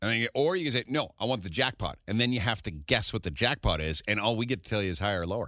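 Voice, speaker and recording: Against a quiet background, a man with a medium pitch and a bright, sharp, animated tone speaks at a very fast pace with lively intonation and hardly any pauses, in a dry, close sound with no echo. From Edmonton, Canada. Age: 40s. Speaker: radio host. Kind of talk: morning radio chat.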